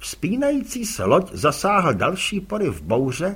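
This is a reading voice. It comes across as unforced.

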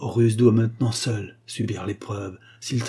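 The passage is read aloud in a natural voice.

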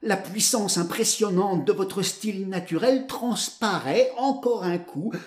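Text is being read out loud. It comes in a natural voice.

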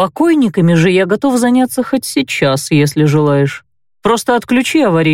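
Over a quiet background, the voice is plain reading aloud.

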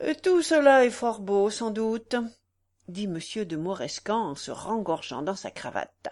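In a natural reading voice with lively intonation, the speaker reads against a quiet background.

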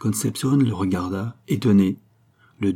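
The pitch rises and falls in an ordinary way. The delivery is plain reading aloud.

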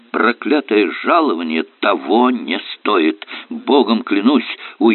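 The speech is plain reading aloud. Nothing else stands out.

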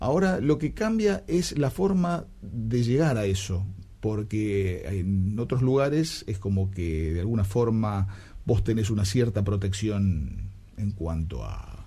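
This man's voice has a dark, mellow tone and a fairly low pitch. He moves at a fairly slow pace with few pauses and lively intonation.

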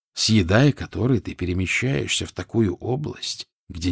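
An unforced reading voice with lively intonation plays over a quiet background.

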